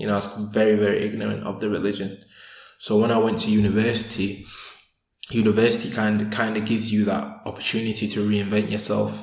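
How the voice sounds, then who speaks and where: In a Sheffield accent, a man talks at a very fast pace with monotone, flat intonation and audible room echo. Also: fairly low pitch for a man. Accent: Yorkshire (Sheffield) English. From northern England, Sheffield. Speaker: convert sharing his life story. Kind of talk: interview, personal testimony.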